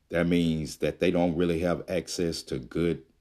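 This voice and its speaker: A man with a Mississippi accent speaks at a moderate pace in a very deep, low pitch, his tone dark and mellow and his intonation flat and monotone. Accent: Southern US (Mississippi). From US South, Jackson, Mississippi. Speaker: health coach and podcast host. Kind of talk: solo podcast monologue.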